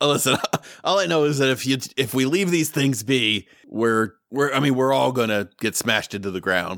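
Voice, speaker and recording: A man puts on a raspy character voice at a medium pitch. He speaks at a moderate pace with lively intonation. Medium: actual play. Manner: casual, wry.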